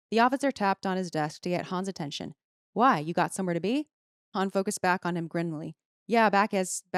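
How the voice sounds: Quiet surroundings, ordinary pitch variation, and a natural reading voice.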